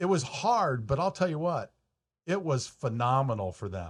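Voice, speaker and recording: Lively intonation marks this man's speech, captured in a very clean recording with a silent background. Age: 60s. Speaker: mortgage broker, podcast host. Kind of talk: casual chat.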